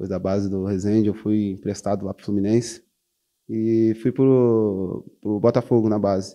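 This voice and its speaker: Against a quiet background, a man with a fairly low pitch and a dark, mellow tone speaks at a moderate pace in a monotone, flat intonation. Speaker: professional footballer (defender). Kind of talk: interview. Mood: calm, reflective. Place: studio. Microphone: handheld.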